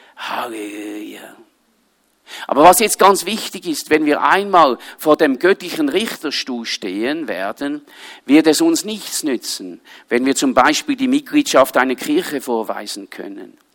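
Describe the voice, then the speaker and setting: Speaking at a fairly slow pace with a Swiss accent, a man uses a fairly high pitch that swings very widely. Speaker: pastor and missionary. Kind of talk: sermon. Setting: church service with audience. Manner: animated.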